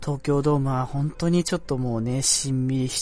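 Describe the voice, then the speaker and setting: A man speaks here with a fairly high pitch. His voice is somewhat breathy. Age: 20s. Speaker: amateur podcast host. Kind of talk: casual solo talk. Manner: hesitant, many fillers.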